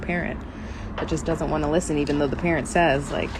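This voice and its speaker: The voice is monotone and flat, with audible room echo and noticeable background noise. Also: woman. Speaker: faith and lifestyle podcaster. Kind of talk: casual chat. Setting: outdoors at night. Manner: loud.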